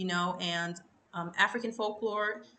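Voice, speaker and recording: Bright and sharp in tone, a woman's voice comes through. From Brazil. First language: Portuguese. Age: 20s. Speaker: YouTuber. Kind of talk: unscripted storytelling to camera. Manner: casual, filler-heavy.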